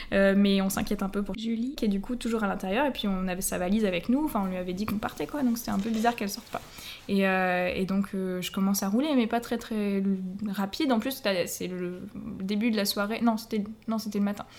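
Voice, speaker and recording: Using a normal speaking voice, a woman talks at a fairly quick pace, her medium pitch showing ordinary variation. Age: 20s. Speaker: English and French teacher. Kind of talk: travel storytelling.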